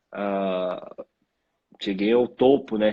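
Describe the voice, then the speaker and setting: The sound is dry and close with no echo. A man talks with fairly even intonation. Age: 30s. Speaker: professional footballer. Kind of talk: interview. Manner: halting.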